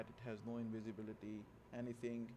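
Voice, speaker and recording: A man speaks with a non-native accent at a medium pitch. There is noticeable background noise. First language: not English. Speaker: gaming video creator. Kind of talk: gameplay tutorial.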